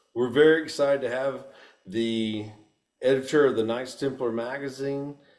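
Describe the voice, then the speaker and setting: In a Texan accent, a man with a medium pitch speaks at a moderate pace with fairly even intonation and audible room echo. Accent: Texan US Southern. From Texas. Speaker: podcast host. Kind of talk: casual interview.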